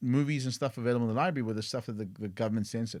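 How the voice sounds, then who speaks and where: A man speaks in a South African accent at a medium pitch with ordinary pitch variation. The recording is very clean and the background silent. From South Africa, East London. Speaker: tech entrepreneur. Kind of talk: podcast interview.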